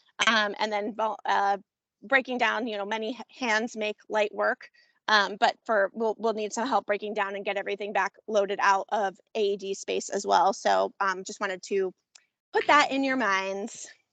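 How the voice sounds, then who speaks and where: At a medium pitch, a woman speaks with a bright, sharp tone and fairly even intonation, in a dry, close sound without echo and against a quiet background. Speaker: commission member organizing an event. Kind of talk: public meeting discussion. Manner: fast; hesitant, many fillers.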